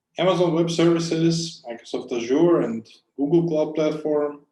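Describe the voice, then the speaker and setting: A man's fairly high-pitched voice with a dark, mellow tone, a non-native accent, and a fairly slow pace. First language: not English. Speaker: conference speaker, cloud software engineer. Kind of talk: conference talk.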